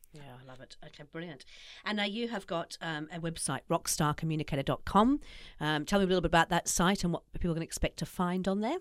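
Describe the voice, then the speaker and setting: Talking at a very fast pace with a New Zealand accent, a woman uses a fairly low pitch, ordinary pitch variation and big swings in loudness. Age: 50s. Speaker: podcast host. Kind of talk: podcast interview.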